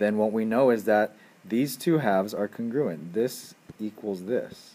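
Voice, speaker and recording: A man with a dark, mellow tone talks at a moderate pace. His fairly low pitch has ordinary pitch variation. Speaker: high school geometry teacher. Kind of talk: lecture.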